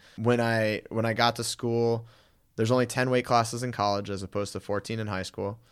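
In an unremarkable speaking voice, a man with an American accent talks at a fairly quick pace and medium pitch. His intonation is fairly even, and the recording is very clean with a silent background. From Connecticut, New Haven area. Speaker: personal trainer, former wrestler. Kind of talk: casual interview.

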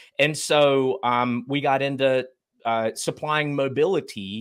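With a North Carolina accent, a man speaks at a medium pitch and a fairly slow pace, with ordinary pitch variation. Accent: Southern US (North Carolina). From Eastern North Carolina. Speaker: business founder. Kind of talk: casual interview.

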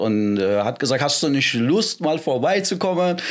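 Noticeable background noise surrounds a man speaking with a Persian accent. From Iran, moved to Germany at 13. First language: Persian (speaking German). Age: 40s. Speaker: MMA and wrestling coach. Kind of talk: casual interview.

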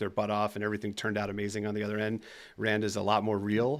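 Speaking at a very fast pace, a man shows a slight New Jersey accent. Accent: slight New Jersey on some words. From US, New Jersey. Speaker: tech company founder and CEO. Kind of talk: interview.

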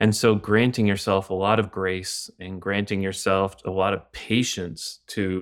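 On a very clean recording with a silent background, a man speaks fairly slowly. His very deep, low voice holds a monotone, flat intonation. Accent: Canadian. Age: 40s. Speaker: pastor and author. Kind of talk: podcast interview on grief.

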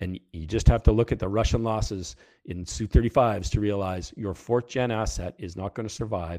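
With a strong Canadian accent, a man talks in a fairly low, dark, mellow voice with fairly even intonation and big swings in loudness, captured dry and close with no echo on a very clean recording with a silent background. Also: fairly quick pace. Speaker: retired fighter test pilot. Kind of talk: casual interview chat.

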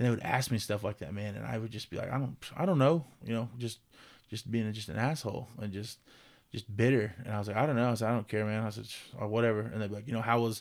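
A man's medium-pitched voice at a very fast pace. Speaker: former college football player and coach. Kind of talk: casual interview. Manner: conversational, casual.

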